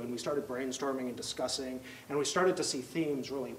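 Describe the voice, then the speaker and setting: Very fast speech from a man. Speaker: presenter. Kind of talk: lecture. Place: classroom. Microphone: handheld.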